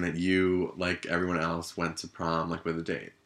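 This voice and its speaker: Very deep, low pitch from a man, with a bright, sharp tone, monotone, flat intonation and a moderate pace, on a very clean recording with a silent background. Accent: American. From New Jersey. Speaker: podcast co-host. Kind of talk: casual chat.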